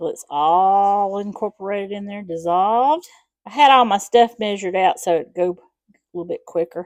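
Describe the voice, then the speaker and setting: In a very clean recording with a silent background, a woman with a Southern US accent speaks at a moderate pace, her medium pitch showing ordinary variation. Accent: Southern American. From Southern US, Alabama. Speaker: home cook. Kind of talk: casual cooking demonstration to camera.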